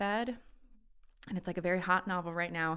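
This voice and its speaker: On a very clean recording with a silent background, a woman talks at a fairly quick pace in an unremarkable speaking voice pitched fairly low. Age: 30s. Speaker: actress and model. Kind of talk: casual chat.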